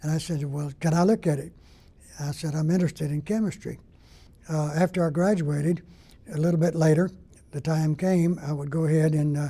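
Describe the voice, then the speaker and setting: Fairly high-pitched male voice with an American accent and a dark, mellow tone, fairly even intonation, a fairly quick pace and long, frequent pauses. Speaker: retired mud engineer, hall of fame inductee. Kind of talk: interview testimony.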